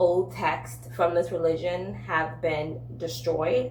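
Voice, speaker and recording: A woman in a room with audible echo and noticeable background noise. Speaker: book and lifestyle content creator. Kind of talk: casual vlog. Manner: casual with filler words.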